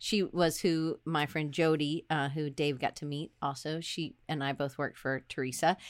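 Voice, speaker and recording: Her pitch very deep and low, a woman talks at a moderate pace with hardly any pauses and fairly even intonation. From US South, Atlanta. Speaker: design professor. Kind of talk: casual chat. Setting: video call. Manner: loud.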